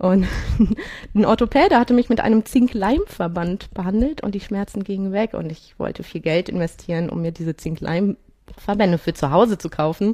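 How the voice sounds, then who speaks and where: Her medium-pitched voice has a dark, mellow tone and ordinary pitch variation, moving at a moderate pace in a dry, close sound with no echo. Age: 40s. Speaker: amateur triathlete with rheumatoid arthritis. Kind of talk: interview.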